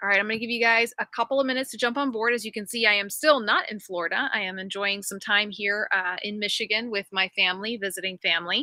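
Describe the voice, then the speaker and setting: Speaking at a very fast pace with hardly any pauses, a woman with a fairly high pitch and ordinary pitch variation is heard in a dry, close sound with no echo. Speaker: physical therapist and livestream host. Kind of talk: casual livestream chat. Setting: live video stream from family home. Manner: projecting loudly; animated. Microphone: no microphone, laptop audio, fickle Wi-Fi.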